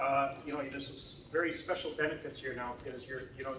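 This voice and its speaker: Speaking fairly quickly, a man can be heard. Audible room echo surrounds him, along with noticeable background noise. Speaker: tech company CTO. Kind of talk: presentation. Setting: hackathon event with audience. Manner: loud.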